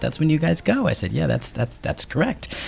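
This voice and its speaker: A man talks at a very fast pace with a New Jersey accent. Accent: New Jersey twang. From New Jersey, US. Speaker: TV commercial producer and tour guide. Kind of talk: radio interview. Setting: radio studio.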